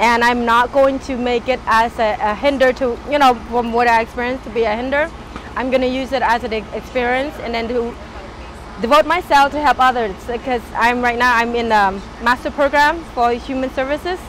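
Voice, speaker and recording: Against noticeable background noise, a woman with a high voice speaks fairly quickly with fairly even intonation. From Cambodia. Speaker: refugee, master's student in human services. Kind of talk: personal interview.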